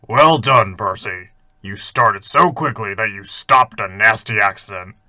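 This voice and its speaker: A man uses a raspy, put-on character voice at a moderate pace. The recording is very clean with a silent background. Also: medium pitch for a man. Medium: read story. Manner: gruff, commanding.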